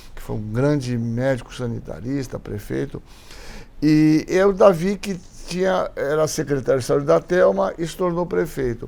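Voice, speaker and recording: A man's voice at a moderate pace, with big swings in loudness. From Brazil, Santos (São Paulo coast). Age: 60s. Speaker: physician and infectious disease expert. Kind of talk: interview conversation. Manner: hesitant, many fillers.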